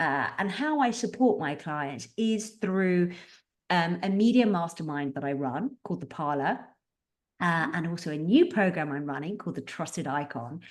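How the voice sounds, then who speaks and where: A woman speaks with a British accent and lively intonation at a moderate pace. The background is quiet. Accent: very British. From Britain. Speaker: publicist. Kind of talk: podcast interview.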